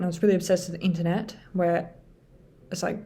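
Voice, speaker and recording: A woman's fairly low, dark and mellow voice, somewhat breathy, fairly quick, in a flat monotone. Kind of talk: casual talk to camera. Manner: hesitant, many filler sounds.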